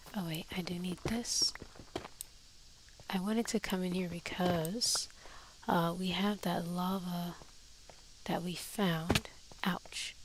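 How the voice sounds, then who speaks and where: Soft-spoken delivery at a very slow pace, with long, frequent pauses. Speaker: Minecraft let's play streamer. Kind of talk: gameplay commentary.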